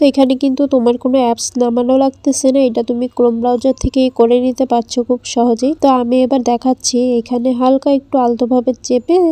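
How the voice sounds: A fast, dark and mellow voice with little pitch movement and few pauses, in a dry, close sound with no echo. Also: woman, fairly high pitch for a woman.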